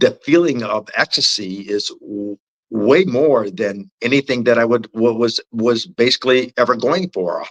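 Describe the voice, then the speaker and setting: Recorded dry and close with no echo, a man with a medium-pitched voice speaks at a fairly slow pace with lively intonation. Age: 60s. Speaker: podcast guest. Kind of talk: casual chat. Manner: halting.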